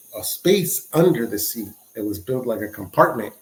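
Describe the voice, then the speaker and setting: Somewhat breathy man's voice in a Spanish accent, medium pitch, lively intonation, moderate pace. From Mexico (Michoacán), raised from age six in the San Francisco Bay Area. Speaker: podcast guest sharing life story. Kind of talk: casual interview storytelling. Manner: halting, many repetitions.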